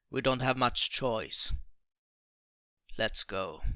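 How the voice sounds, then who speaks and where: A man does a raspy, put-on character voice in a very clean recording with a silent background. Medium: read story. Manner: dry, sardonic.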